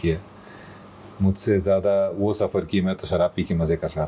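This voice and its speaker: A man speaks at a moderate pace. His pitch is very deep and low, and his intonation fairly even. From Kanpur, India. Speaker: voice-over artist. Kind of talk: interview answer.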